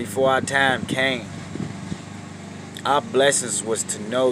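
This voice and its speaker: Over noticeable background noise, a man speaks at a fairly slow pace with a medium pitch and fairly even intonation. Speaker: street preacher. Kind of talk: sermon. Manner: halting, repeats words.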